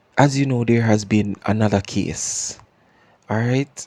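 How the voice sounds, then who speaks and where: A man with a Jamaican accent in a very clean recording, silent background, with a dry, close sound and no echo. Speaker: podcast host. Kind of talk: casual commentary. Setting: home, not studio. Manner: repeats words, stammering.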